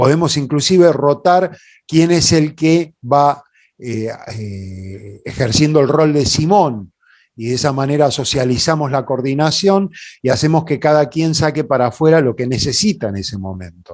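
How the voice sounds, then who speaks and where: In a Rioplatense accent, a man speaks at a fairly slow pace with a fairly high pitch and lively intonation. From Buenos Aires, Argentina. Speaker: puppeteer and workshop leader. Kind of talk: conference talk. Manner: hesitant, informal.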